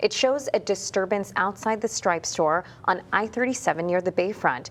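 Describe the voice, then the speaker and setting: A woman talks at a fairly quick pace in a normal speaking voice with ordinary pitch variation. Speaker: news anchor and reporter. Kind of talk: TV news anchoring.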